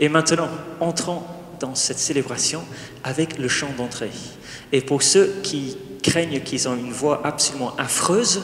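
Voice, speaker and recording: A man with an English accent talks at a fairly slow pace. Noticeable background noise and audible room echo are present in the recording. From England. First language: English (speaking French). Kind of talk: wedding homily and liturgy. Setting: church wedding with congregation, microphones.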